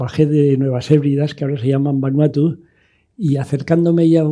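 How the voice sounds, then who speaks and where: This man has a fairly high pitch, a dark, mellow tone and a somewhat breathy voice, and he speaks at a moderate pace. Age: 80s+. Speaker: sailor. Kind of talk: interview conversation. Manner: halting, with repeated words.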